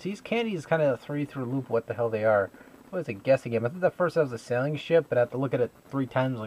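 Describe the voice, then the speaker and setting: This man's voice sits at a medium pitch with lively intonation. The sound is dry and close, with no echo. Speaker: video blogger. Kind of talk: casual vlog. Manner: animated.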